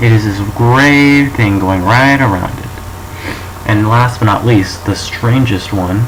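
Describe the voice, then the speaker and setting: Someone speaks at a fairly slow pace with audible room echo. Noticeable background noise is present. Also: man. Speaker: student presenting a school project. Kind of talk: presentation of a topic, mock show. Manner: monotone; halting, with false starts.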